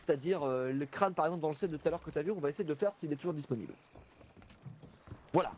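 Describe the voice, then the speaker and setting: A man at a very fast pace, with ordinary pitch variation and long, frequent pauses. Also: fairly high pitch for a man. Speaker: gamer streaming with friends. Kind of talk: casual gaming chat. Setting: voice chat on Discord.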